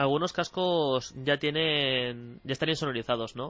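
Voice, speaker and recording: With an ordinary speaking voice, a man talks at a fairly slow pace and ordinary pitch variation. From Spain, Barcelona. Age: 20s. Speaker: professional esports player. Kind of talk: radio interview.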